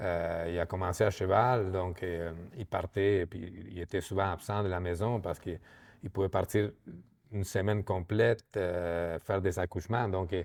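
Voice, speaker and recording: A man's very deep, low voice at a fairly slow pace with fairly even intonation, on a very clean recording with a silent background. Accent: Argentine. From Argentina. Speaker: microdistillery co-owner. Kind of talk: interview. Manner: halting, many repetitions and fillers.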